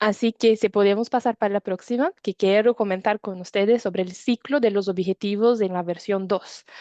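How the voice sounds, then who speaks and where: Speaking in a Brazilian accent, a woman of medium pitch uses a dark, mellow tone and fairly even intonation at a moderate pace with hardly any pauses, on a dry, close sound with no echo and a quiet background. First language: Portuguese (speaking Spanish). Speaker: climate standards presenter. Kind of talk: webinar presentation. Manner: hesitant, frequent fillers.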